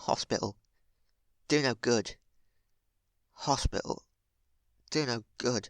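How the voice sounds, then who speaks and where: Putting on a character voice, a man mumbles at a medium pitch and fairly slow pace, with fairly even intonation and long, frequent pauses. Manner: mumbling.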